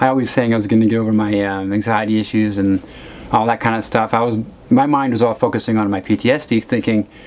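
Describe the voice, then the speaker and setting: Against noticeable background noise, a man talks very fast at medium pitch with fairly even intonation. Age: 40s. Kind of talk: casual talk to camera. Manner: rambling, halting, many fillers.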